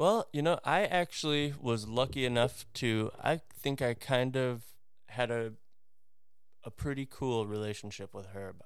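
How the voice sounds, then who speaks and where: An ordinary speaking voice with an American accent and ordinary pitch variation moves at a fairly slow pace in a very clean recording with a silent background. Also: man, medium pitch for a man. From US Midwest, Wisconsin. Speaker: former professional wakeboarder. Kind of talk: casual chat.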